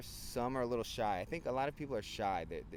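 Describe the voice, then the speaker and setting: A man with a New Jersey accent. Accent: New Jersey American English. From New Jersey (Hoboken, Hudson County). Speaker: English teacher and vlogger. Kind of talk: casual chat. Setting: outdoors, handheld camera.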